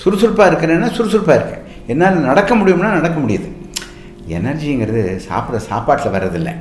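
A man's high pitch in very wide swings, with audible room echo and noticeable background noise. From Tamil Nadu, Coimbatore area (Annur village). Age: 80s+. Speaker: surgeon and hospital founder. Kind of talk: radio interview.

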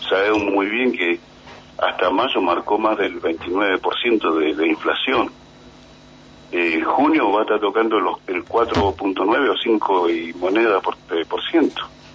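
Noticeable background noise sits behind the voice. The delivery is very slow, with very even loudness. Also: man. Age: 40s. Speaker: trade union leader. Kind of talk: radio interview.

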